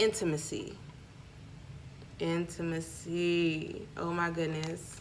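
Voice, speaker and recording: Audible room echo surrounds a woman with a Southern US accent who speaks in a fairly low, monotone, flat voice at a very slow pace with long, frequent pauses. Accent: sounds country (Southern US). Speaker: spiritual vlogger and small business owner. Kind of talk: casual vlog with product pitch.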